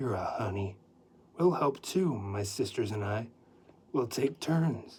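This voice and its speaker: Putting on a character voice, a man speaks husky and medium-pitched at a fairly slow pace, with lively intonation and long, frequent pauses. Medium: read story.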